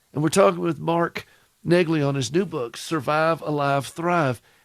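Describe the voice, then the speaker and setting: At a fairly slow pace, a man speaks with a fairly high pitch in a dry, close sound with no echo. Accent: Southern US. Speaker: radio host. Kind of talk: radio talk show.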